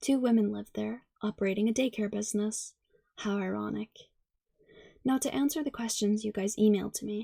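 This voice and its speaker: Soft-spoken and somewhat breathy, a woman talks at a fairly quick pace with a fairly high pitch, ordinary pitch variation and a dark, mellow tone, in a dry, close sound with no echo. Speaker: ASMR creator. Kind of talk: ASMR story reading.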